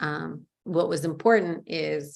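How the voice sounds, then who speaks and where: A woman with vocal fry and a very deep, low pitch speaks with fairly even intonation. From Georgia (former Soviet Union), moved to US as child. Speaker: discussion participant. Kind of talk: personal testimony in group conversation. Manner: hesitant, many fillers.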